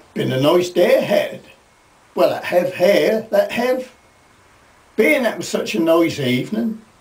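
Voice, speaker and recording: With a Norfolk accent, the speaker goes at a fairly slow pace, leaving long, frequent pauses. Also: man. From Norfolk, England. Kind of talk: storytelling to camera.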